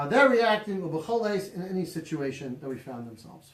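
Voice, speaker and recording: A loud man with a high pitch. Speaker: rabbi teaching a class. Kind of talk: lecture. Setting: small room, live-streamed class.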